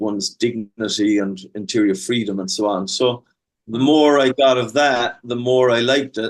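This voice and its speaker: In an Irish accent, a man speaks at a medium pitch. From Ireland. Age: 50s. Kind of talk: interview testimony.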